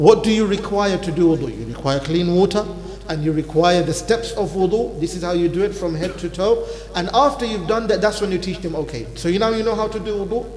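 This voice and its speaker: Fairly quick speech with ordinary pitch variation, audible room echo and noticeable background noise. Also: man, high pitch for a man. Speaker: imam teaching Islamic law class. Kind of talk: religious lecture. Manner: normally talks fast.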